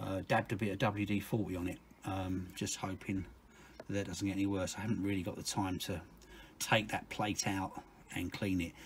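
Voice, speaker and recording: This man's voice is somewhat breathy and monotone, with flat intonation, at a fairly quick pace. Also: fairly low pitch for a man. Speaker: car mechanic video maker. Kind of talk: tutorial.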